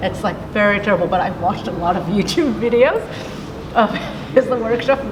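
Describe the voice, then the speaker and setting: In a room with audible echo and noticeable background noise, a woman talks with ordinary pitch variation. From Japan (Kobe). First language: Japanese. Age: 30s. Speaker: jazz pianist. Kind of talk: interview. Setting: outdoor jazz festival. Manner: casual, halting with many fillers.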